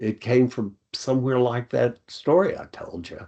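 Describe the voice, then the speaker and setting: This man has a Tennessee accent. He speaks fairly slowly at a medium pitch. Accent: Southern US (Tennessee). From US South. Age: 70s. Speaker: retired college dean and charity founder. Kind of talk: interview conversation.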